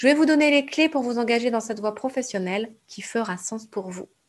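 A woman with an unremarkable speaking voice, fairly high in pitch, lively intonation, on a very clean recording with a silent background. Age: 30s. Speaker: podcast host, entrepreneurship coach. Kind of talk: monologue podcast intro.

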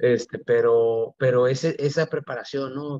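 The delivery is monotone, with flat intonation at a moderate pace. The sound is dry and close, with no echo. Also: man. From Mexico, Mexicali, Baja California. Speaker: Olympic archer. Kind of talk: interview. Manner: halting, many fillers and repetitions.

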